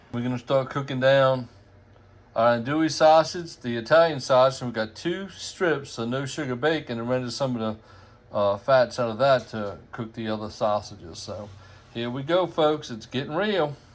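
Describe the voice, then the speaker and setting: In a Louisiana accent, a man speaks at a medium pitch and moderate pace, with ordinary pitch variation and big swings in loudness. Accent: Cajun Louisiana. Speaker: home cook. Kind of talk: cooking video narration. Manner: folksy, casual.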